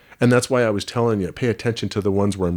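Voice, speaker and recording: A soft-spoken man has a dark, mellow tone. His pitch varies in an ordinary way. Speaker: aspiring voice actor. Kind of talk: casual chat.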